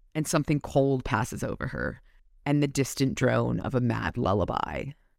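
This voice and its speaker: A woman's very deep, low voice with vocal fry, an animated tone, ordinary pitch variation and a moderate pace, on a very clean recording with a silent background. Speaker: podcast host. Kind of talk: casual chat, some reading aloud. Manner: animated, joking.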